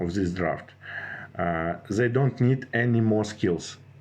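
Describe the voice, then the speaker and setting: Pitched fairly low, a man speaks at a very slow pace with ordinary pitch variation. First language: not English. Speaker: gaming strategy youtuber. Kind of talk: tutorial. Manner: halting, many fillers and restarts.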